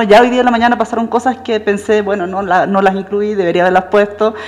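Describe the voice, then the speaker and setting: A woman with a Chilean accent and fairly high pitch speaks at a fairly quick pace with fairly even intonation, over noticeable background noise. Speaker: professor. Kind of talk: lecture. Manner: fast.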